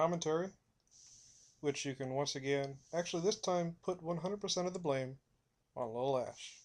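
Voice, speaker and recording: A man's voice, with ordinary pitch variation, comes through over a quiet background. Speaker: gaming commentator. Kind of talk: gameplay commentary. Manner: fast.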